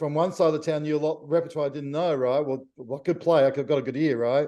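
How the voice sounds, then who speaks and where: This man speaks with an Australian accent in a fairly high voice, dark and mellow in tone, with fairly even intonation. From Australia, Victoria (Melbourne). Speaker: jazz pianist. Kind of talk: interview.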